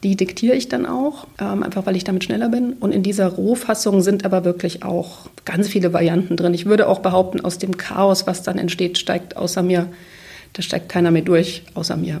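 Medium in pitch, a woman talks at a moderate pace with ordinary pitch variation. Background noise is noticeable. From former East Germany. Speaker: literary translator. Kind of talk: interview.

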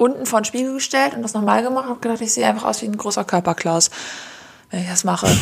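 Noticeable background noise runs under this recording. A woman with a fairly high pitch talks at a very fast pace. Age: 20s. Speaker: podcast co-host. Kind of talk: casual chat.

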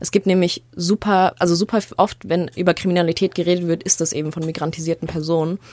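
At a very fast pace with hardly any pauses, a woman speaks in a monotone, flat intonation. Her pitch is fairly low, and noticeable background noise runs underneath. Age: 20s. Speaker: journalism student and podcast co-host. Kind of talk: casual chat.

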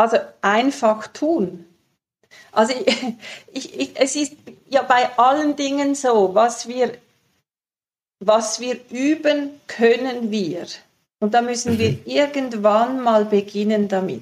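The speech has ordinary pitch variation. It moves at a very slow pace with long, frequent pauses. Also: woman, high pitch for a woman. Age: 60s. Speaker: sexologist and author. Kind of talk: interview. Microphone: poor sound quality.

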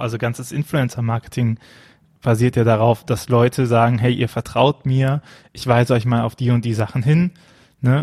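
Over a quiet background, a man speaks at a moderate pace with a medium pitch, a dark, mellow tone, fairly even intonation and a somewhat breathy quality, the sound dry and close with no echo. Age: 30s. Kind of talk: casual chat about a Bible text. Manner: hesitant, many filler sounds.

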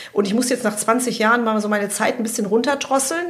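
Noticeable background noise sits behind this recording. A woman speaks at a fairly high pitch with ordinary pitch variation. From Germany, Hesse (Frankfurt area). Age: 50s. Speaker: veterinarian.

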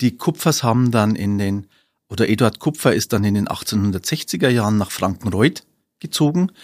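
On a very clean recording with a silent background and a dry, close sound with no echo, a man with a fairly low pitch speaks at a moderate pace with lively intonation. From Upper Palatinate, Bavaria (Weiden). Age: 50s. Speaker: historian and city archivist. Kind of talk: interview. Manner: hesitant, many filler sounds.

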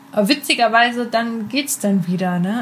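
Noticeable background noise is present. The talking comes at a fairly quick pace. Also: woman. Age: 20s. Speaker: podcast co-host. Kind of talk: casual chat.

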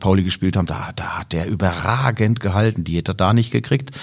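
This man's voice is very deep and low, with ordinary pitch variation. He speaks at a very fast pace. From Karlsruhe area, Baden. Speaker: blind-audience football commentator. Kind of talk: casual football chat.

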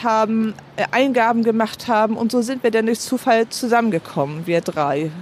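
A woman with a normal speaking voice talks at a moderate pace in a fairly high pitch. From Heide, Schleswig-Holstein, northern Germany. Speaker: citizen initiative organizer. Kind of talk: interview.

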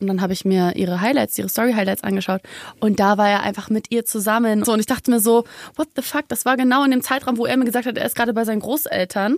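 Talking at a very fast pace, a woman with a fairly high pitch and ordinary pitch variation is heard in a dry, close sound with no echo. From Germany, Munich. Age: 20s. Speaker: singer. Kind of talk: casual chat. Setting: studio.

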